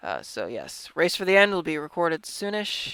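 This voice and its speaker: In a very clean recording with a silent background, the speaker mumbles at a fairly slow pace. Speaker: gaming youtuber. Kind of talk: gameplay commentary. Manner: halting, stumbles over words; mumbling.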